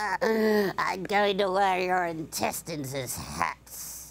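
A woman uses a put-on character voice at medium pitch with ordinary pitch variation. She speaks very slowly. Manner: cranky, insulting.

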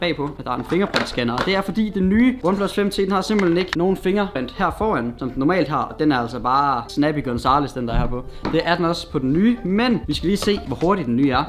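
Over light background noise, a man with a high pitch speaks with lively intonation and hardly any pauses. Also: fairly quick pace. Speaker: vlogger. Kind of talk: casual unboxing vlog chat. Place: home room. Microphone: camera far.

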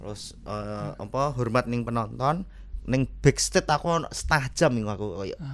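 This man speaks at a moderate pace, his loudness swinging widely. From Java, Indonesia. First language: Javanese (speaking Indonesian). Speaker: stand-up comedian. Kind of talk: casual chat. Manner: animated. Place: studio. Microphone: studio mic.

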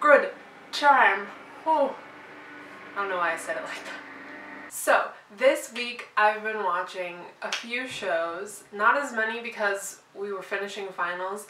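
Fairly slow speech with long, frequent pauses, big swings in loudness and ordinary pitch variation, amid audible room echo and light background noise. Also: woman. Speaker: vlogger. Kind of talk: casual vlog chat. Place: home room. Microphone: camera far.

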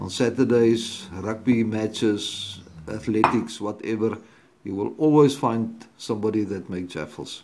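Light background noise behind a man's voice, its pitch varying in an ordinary way. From South Africa. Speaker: home video blogger. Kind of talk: product review tutorial. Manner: hesitant, many fillers. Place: home room. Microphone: phone near.

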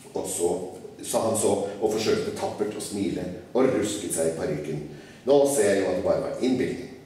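Strong room echo surrounds a man speaking at a moderate pace. Light background noise is also present. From Norway. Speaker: writer. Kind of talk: live reading of a children's classic. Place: hall. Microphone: podium.

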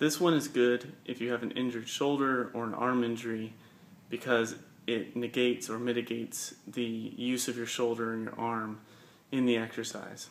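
A moderate pace marks this clip. The voice belongs to a man. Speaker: fitness coach. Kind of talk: tutorial. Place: gym. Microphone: phone near.

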